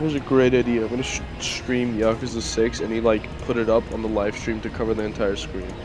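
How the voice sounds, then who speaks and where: Over music in the background, a man at a medium pitch talks at a fairly quick pace with hardly any pauses and fairly even intonation. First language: not English. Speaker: animation community member on a stream. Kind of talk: casual chat.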